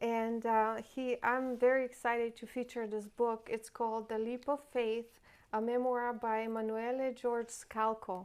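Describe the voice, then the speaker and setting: On a very clean recording with a silent background, a woman with a non-native accent speaks at a fairly high pitch in a flat monotone. Her pace is fairly slow, with hardly any pauses. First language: not English. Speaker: real estate agent and interview host. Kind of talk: interview.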